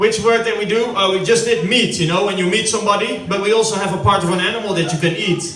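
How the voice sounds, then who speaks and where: A man's raised, projected voice at a moderate pace, with audible room echo and noticeable background noise. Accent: Dutch. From Netherlands. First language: Dutch. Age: 30s. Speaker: stand-up comedian. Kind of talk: stand-up. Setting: stage with audience at family birthday party.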